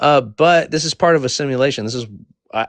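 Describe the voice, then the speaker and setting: Fairly quick, animated speech from a man with a fairly high pitch and ordinary pitch variation, dry and close with no echo. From US, Mexican and Eritrean parents. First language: Spanish. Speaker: panel discussion host. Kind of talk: heated debate.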